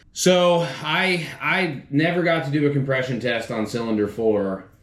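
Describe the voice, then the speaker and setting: With audible room echo, a man speaks with lively intonation. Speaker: car DIY YouTuber. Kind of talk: casual vlog talk to camera. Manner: halting, repeats words.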